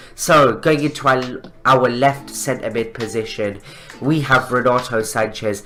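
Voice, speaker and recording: Music can be heard behind the speaker. He is a man talking at a fairly slow pace. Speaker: gaming YouTuber. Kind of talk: video game commentary.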